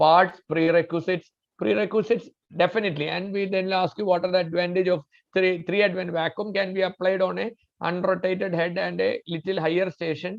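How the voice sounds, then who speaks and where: Talking at a fairly quick pace, a man with a high pitch keeps his intonation fairly even. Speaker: doctor teaching obstetrics and gynecology. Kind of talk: lecture. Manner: fast; halting.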